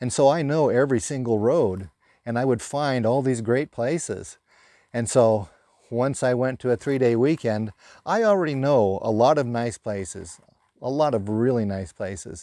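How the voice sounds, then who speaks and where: A man speaks at a moderate pace and medium pitch in a dark, mellow tone. The background is quiet. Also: ordinary pitch variation. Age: 60s. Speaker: camping vlogger and tradesman. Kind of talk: casual vlog monologue. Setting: outdoors at a campsite.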